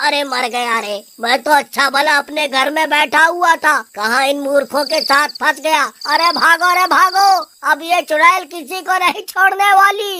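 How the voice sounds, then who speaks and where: A high-pitched cartoonish character voice runs at a moderate pace with hardly any pauses. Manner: panicked, comic.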